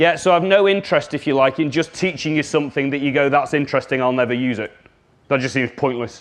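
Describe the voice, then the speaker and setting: A man at a very fast pace, fairly high in pitch with ordinary pitch variation, over a quiet background. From Liverpool, England. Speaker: communication trainer. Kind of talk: workshop presentation. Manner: animated.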